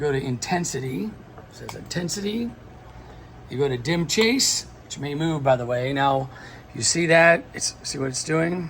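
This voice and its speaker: Lively intonation marks this man's moderate-paced speech, with light background noise behind him. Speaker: lighting technician. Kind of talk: tutorial. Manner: casual, filler-heavy. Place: hall. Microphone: phone near.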